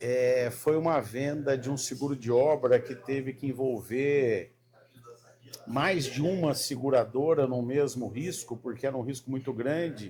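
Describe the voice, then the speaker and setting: A man speaks at a medium pitch in a dark, mellow tone. His pace is fairly slow and his intonation fairly even. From Paraná, southern Brazil (Londrina). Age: 50s. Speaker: sales mentor. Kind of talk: casual chat.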